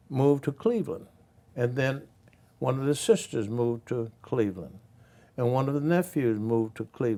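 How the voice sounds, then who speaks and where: A man's dark, mellow voice in an Alabama accent, at a moderate pace with ordinary pitch variation and long, frequent pauses. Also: medium pitch for a man. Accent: Southern US (Alabama). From US South, Birmingham, Alabama. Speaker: former state representative and civil rights veteran. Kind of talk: interview.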